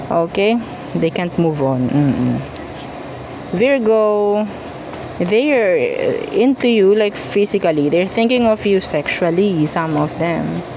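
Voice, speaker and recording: With long, frequent pauses, a woman of medium pitch speaks at a very slow pace with lively intonation over noticeable background noise. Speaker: tarot reader. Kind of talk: tarot reading, casual monologue. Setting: at home, noise outside earlier. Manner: casual, chatty; softer now, was loud earlier.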